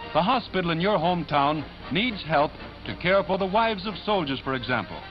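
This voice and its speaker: Over clear music in the background, a man with a high pitch talks at a fairly quick pace with lively intonation. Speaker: newsreel narrator. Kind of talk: 1940s newsreel recruitment ad narration. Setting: vintage newsreel recording. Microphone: old recording.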